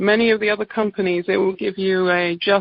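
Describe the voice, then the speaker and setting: Using an English accent, a woman talks at a fairly quick pace in a medium pitch with fairly even intonation. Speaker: naturopathic doctor. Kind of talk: sales pitch.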